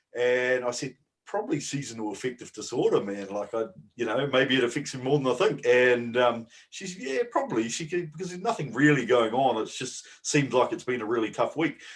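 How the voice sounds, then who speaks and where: A man talks at a fairly quick pace with a New Zealand accent. His pitch is medium with ordinary variation. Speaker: bodybuilding podcast co-host. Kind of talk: casual chat.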